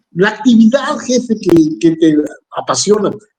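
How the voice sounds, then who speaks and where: A man speaks in a high pitch. His tone is dark and mellow. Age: 60s. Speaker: radio announcer. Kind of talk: interview. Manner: halting, with repetitions.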